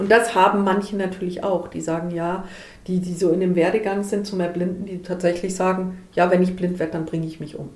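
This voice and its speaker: Amid noticeable background noise and audible room echo, a woman of medium pitch speaks fairly quickly in a flat monotone, her loudness swinging widely. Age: 40s. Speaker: volunteer counselor for visually impaired people. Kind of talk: interview. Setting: in person.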